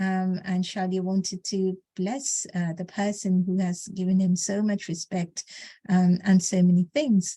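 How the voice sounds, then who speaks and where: Recorded very cleanly with a silent background and a dry, close sound free of echo, a woman speaks at a moderate pace and medium pitch in a somewhat breathy, dark, mellow tone with monotone, flat intonation. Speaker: scripture class speaker. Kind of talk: religious discourse. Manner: halting, many fillers.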